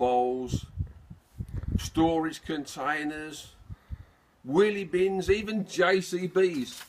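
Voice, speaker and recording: With lively intonation, a man talks in a Birmingham accent. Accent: Birmingham (Brummie). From Birmingham, England. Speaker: amateur video maker. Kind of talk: comedic monologue. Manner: jokey, chatty.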